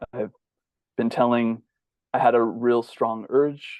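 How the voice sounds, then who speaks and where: Soft-spoken and fairly slow, a man talks with an American accent. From US West Coast, Bay Area. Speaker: bodyworker and holistic healer. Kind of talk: interview.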